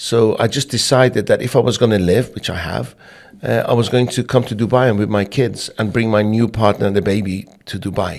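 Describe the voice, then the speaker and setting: A man with a medium pitch talks at a fairly quick pace in an ordinary speaking voice. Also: fairly even intonation. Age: 50s. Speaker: business owner. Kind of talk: interview.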